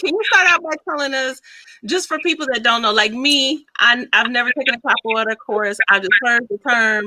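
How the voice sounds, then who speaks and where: A woman's high-pitched voice, bright and sharp, with lively intonation at a moderate pace in a dry, close sound with no echo. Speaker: podcast host, psychologist. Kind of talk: casual interview chat.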